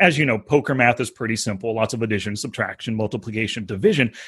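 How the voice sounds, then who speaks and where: An animated, somewhat breathy male voice over a quiet background. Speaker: poker coach and podcast host. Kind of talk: interview.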